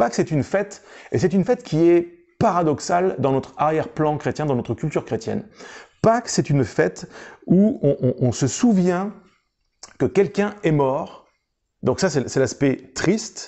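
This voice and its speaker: This man has a fairly high pitch that swings very widely. He talks at a moderate pace with long, frequent pauses. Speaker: pastor. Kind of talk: sermon. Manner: hesitant, frequent fillers.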